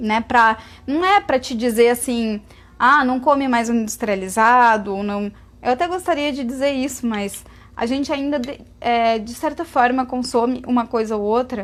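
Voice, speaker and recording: A woman's high-pitched voice in a very clean recording with a silent background. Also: ordinary pitch variation, moderate pace. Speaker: vegan lifestyle influencer. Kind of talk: live Q&A stream. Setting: Instagram live stream.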